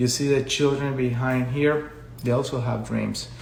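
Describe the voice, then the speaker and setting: Over audible room echo, a man talks at a fairly slow pace with fairly even intonation. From Colombia. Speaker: education consultant. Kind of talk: live stream talk. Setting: social media live video.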